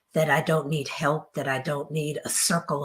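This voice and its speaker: A woman speaks in a very deep, low voice at a moderate pace, somewhat breathy. The recording is very clean with a silent background. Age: old. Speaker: author and therapist. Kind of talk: interview.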